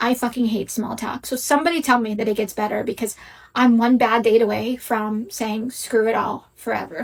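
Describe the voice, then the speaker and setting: A woman with an unremarkable speaking voice, fairly high in pitch, fairly even in intonation, at a moderate pace. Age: 30s. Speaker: social media poster. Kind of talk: vlog rant.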